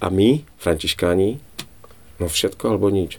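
Very deep and low in pitch, a man speaks at a moderate pace with a dark, mellow tone. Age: 40s. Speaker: Franciscan friar. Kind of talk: casual chat.

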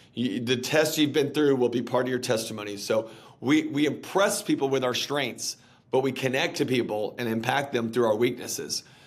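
A man talks at a moderate pace and medium pitch with ordinary pitch variation in a plain, everyday voice. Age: 30s. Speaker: pastor and author. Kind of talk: interview.

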